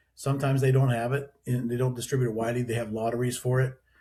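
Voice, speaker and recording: Here a man speaks at a medium pitch in a somewhat breathy voice. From western Pennsylvania. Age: 60s. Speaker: distillery owner. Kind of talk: podcast interview. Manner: halting, many restarts.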